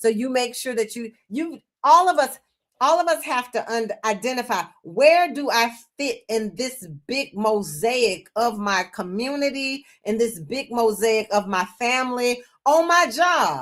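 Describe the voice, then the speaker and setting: A woman with an American accent talks at a fairly slow pace in a high voice with lively intonation, on a very clean recording with a silent background. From US South, Memphis. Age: 60s. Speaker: children's book author. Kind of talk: interview conversation.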